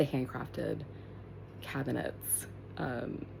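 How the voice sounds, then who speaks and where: A woman is whispering. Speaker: vlogger. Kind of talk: casual home tour vlog. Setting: at home. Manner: hesitant, many fillers.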